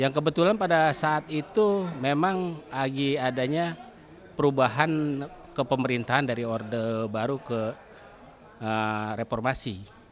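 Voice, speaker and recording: A man at a medium pitch, very slow pace and lively intonation. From Jakarta, Betawi (Tanjung Priok). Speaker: shipping company branch manager. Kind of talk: podcast interview.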